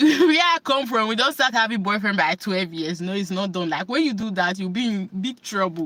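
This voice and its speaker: With lively intonation, a woman talks at medium pitch in a normal speaking voice. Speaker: self-help vlogger. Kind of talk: casual talk to camera.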